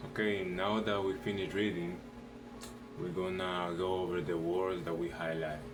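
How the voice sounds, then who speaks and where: The delivery is monotone and flat, with very even loudness, at a moderate pace. Audible room echo and noticeable background noise surround it. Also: man, very deep, low pitch for a man. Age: 18. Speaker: vlogger. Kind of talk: vocabulary practice, reading definitions aloud.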